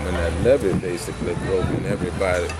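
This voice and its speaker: Delivered at a fairly quick pace, the speech carries audible room echo and noticeable background noise. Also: man. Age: 60s. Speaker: community organizer. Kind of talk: interview.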